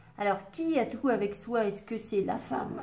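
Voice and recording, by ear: A woman's hoarse, put-on character voice at a medium pitch, moderate pace, and ordinary pitch variation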